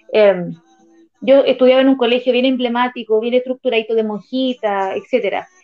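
Woman with a Chilean accent, high-pitched and fairly even in intonation, music playing behind her. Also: moderate pace. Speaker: psychologist. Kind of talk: casual chat.

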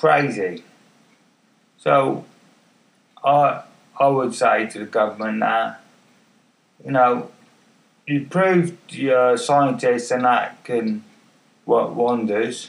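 A man speaks at a very slow pace with long, frequent pauses. His loudness swings widely, while his pitch varies in an ordinary way. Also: medium pitch for a man. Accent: English. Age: 50s. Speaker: podcaster with MS. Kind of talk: casual monologue. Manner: halting, many fillers. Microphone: far from the mic.

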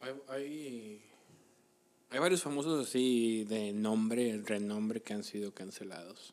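A man talks at a very slow pace, his medium pitch varying in an ordinary way. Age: 30s. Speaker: podcast co-host. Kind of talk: casual chat.

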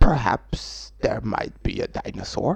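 The speaker uses a put-on character voice. The delivery moves at a fairly slow pace. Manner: mock-menacing.

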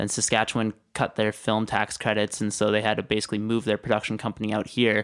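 Fairly low in pitch, a man with a Western Canadian accent talks at a fairly quick pace on a very clean recording with a silent background. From British Columbia, Canada (Maple Ridge, then Kelowna). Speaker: filmmaker. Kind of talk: casual interview.

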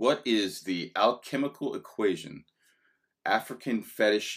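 A man with a normal speaking voice talks at a fairly slow pace, his fairly low pitch carrying lively intonation. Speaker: podcast host. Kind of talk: casual chat.

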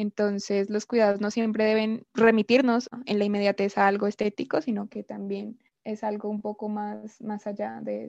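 Barely pausing, a woman speaks at a medium pitch in a monotone, flat intonation, with big swings in loudness. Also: moderate pace, dry, close sound with no echo. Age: 20s. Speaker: anthropology student. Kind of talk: casual podcast discussion. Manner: hesitant, with fillers.

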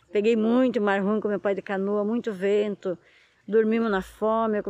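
A woman talks at a fairly quick pace in a flat, monotone delivery. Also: quiet background. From Brazil, São Paulo coast (Ilha de Búzios, caiçara community). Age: 50s. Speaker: fisherwoman and artisan. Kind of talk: casual chat. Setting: outdoors.

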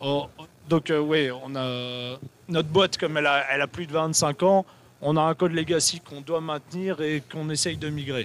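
A man's unremarkable speaking voice, fairly high in pitch, with fairly even intonation at a moderate pace. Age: 40s. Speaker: software company developer. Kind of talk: casual chat. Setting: live stream at an event.

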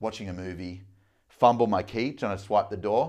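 A man speaks with an Australian accent and audible vocal fry. The recording is very clean, with a completely silent background. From Australia, Melbourne. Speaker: business coach. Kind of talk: casual chat.

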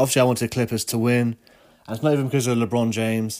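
The tone is slightly mellow and nasal. Delivery moves at a fairly quick pace. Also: man.

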